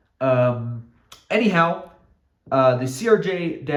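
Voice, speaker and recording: Audible room echo follows a man's voice. His intonation is lively. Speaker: model aviation YouTuber. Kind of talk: narrated hobby video update. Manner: stuttering, with fillers; casual, improvised.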